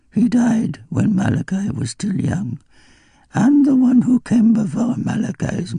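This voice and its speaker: A man's put-on character voice, high in pitch, with lively intonation and a fairly slow pace. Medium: read story. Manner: wandering, absent-minded, portentous.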